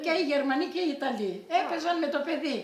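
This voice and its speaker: Keeping a moderate pace, a woman talks with ordinary pitch variation. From Greece, Thessaly (Elassona area). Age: 80s+. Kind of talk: oral history interview answer.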